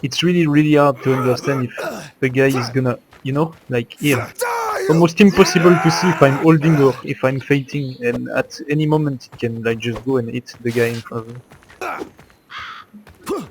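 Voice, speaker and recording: A man speaks at a fairly high pitch and moderate pace, with ordinary pitch variation and big swings in loudness. Noticeable background noise runs underneath. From Belgium. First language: French. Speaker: competitive gamer. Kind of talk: gameplay commentary. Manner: casual, hesitant.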